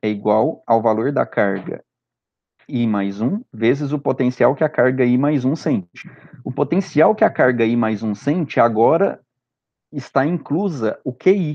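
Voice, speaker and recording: Speaking at a fairly slow pace, a man with a medium pitch uses lively intonation in an unremarkable speaking voice. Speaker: physics teacher. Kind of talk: lecture. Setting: recorded remote class with screen share.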